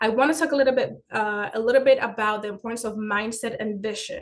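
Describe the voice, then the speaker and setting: The woman's fairly high voice keeps a fairly even intonation. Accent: Spanish. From Dominican Republic. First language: Spanish. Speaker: finance educator and business owner. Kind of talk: webinar presentation.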